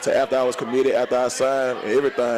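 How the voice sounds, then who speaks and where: A man with a strong Memphis accent at a medium pitch, over noticeable background noise. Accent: strong Memphis Southern. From US South, Memphis, Tennessee. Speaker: college football player. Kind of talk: sports radio interview. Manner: filler-heavy, relaxed.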